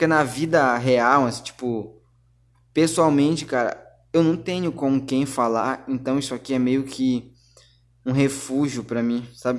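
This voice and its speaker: This man keeps a fairly slow pace. His intonation is fairly even. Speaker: podcaster. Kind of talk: casual monologue.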